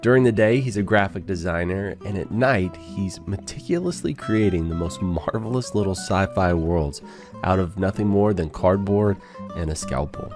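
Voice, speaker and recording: Music plays in the background as a man with a fairly low pitch speaks at a moderate pace with ordinary pitch variation. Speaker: podcast host. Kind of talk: podcast intro read.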